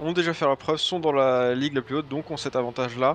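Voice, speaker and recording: Heard over light background noise, a man speaks in a plain, everyday voice, medium-pitched with fairly even intonation and a dry sound with no echo. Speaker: esports co-caster. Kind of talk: live esports commentary.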